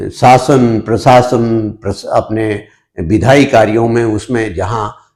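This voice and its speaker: A man speaks at a medium pitch in a dark, mellow tone that is somewhat breathy, with ordinary pitch variation. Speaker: politician. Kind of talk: interview. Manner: hesitant with frequent fillers.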